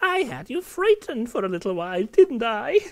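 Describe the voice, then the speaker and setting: A man puts on a husky character voice with an extremely high pitch. He keeps a moderate pace. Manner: sly, menacing.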